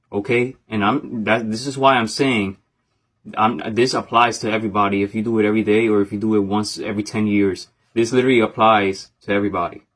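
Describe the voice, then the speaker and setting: Very fast and with fairly even intonation, a man delivers his words. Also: very clean recording, silent background. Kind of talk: personal vlog monologue. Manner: halting, stuttering.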